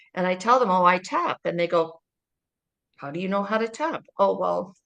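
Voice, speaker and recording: A woman with a normal speaking voice, medium pitch, ordinary pitch variation, and a moderate pace. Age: 60s. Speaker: holistic practitioner. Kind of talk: interview.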